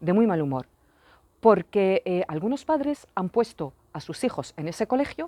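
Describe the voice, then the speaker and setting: Dark, mellow voice with a French accent, very wide pitch swings, and a fairly slow pace, dry and close with no echo on a very clean recording with a silent background. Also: woman. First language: French (speaking Spanish). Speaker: parent vlogger. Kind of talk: personal vlog rant. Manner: repetitive, emphatic.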